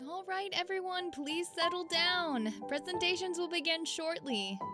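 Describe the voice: A woman's put-on character voice, extremely high in pitch and bright and sharp in tone, at a fairly slow pace with ordinary pitch variation and faint music in the background.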